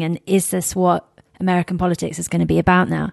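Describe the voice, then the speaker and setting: A woman talks with a British accent at a fairly low pitch. The sound is dry and close, with no echo. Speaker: podcast host and travel journalist. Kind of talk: scripted intro then interview. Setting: in-person interview in a hotel suite.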